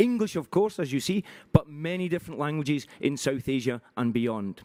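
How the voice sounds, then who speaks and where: A man with a Glaswegian accent, lively intonation and a moderate pace, in a dry, close sound with no echo. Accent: Glaswegian Scottish. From Scotland, Glasgow. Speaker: conference session chair. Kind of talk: speaker introduction. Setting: conference in Paris with audience. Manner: halting, many fillers.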